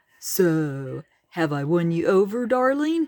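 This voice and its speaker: Using a put-on character voice, the speaker talks at a middle pitch and a fairly slow pace. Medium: read story. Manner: surfer slang, teasing.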